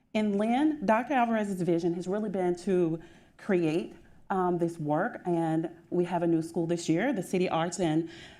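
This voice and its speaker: In a Southern US accent, a woman speaks at a moderate pace with a fairly low pitch, a dark, mellow tone and ordinary pitch variation. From US South. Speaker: school district administrator. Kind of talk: panel discussion.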